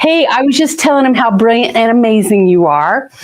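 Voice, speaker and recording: Noticeable background noise sits behind a woman with a fairly high pitch. Her tone is animated, with very wide pitch swings. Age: 60s. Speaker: podcast host, teacher. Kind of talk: casual interview.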